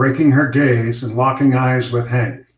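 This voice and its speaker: A man speaks at a medium pitch in a somewhat breathy voice. His intonation stays fairly even. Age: 60s. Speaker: retired news anchor and fiction author. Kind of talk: reading aloud; casual chat.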